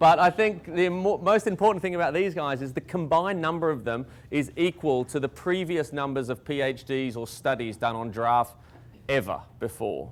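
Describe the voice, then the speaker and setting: An Australian accent marks this man's speech at a fairly high pitch. He keeps a moderate pace with lively intonation. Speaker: conservation scientist. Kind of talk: public talk.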